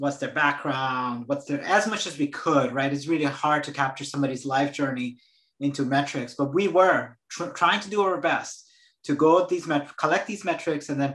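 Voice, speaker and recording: A man with an American accent, fairly high pitch, ordinary pitch variation and a moderate pace. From Brazil. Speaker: venture capital investor. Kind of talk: panel discussion. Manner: halting, many repetitions.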